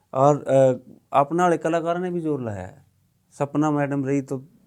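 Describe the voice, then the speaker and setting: The speaker is a man with a fairly high pitch. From Haryana, India. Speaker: ex-journalist and film director. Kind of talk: podcast conversation.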